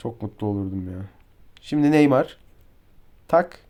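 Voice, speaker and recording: Fairly slow and animated, a man's voice comes through. The recording is very clean, with a silent background. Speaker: mobile football game streamer. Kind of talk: gameplay commentary.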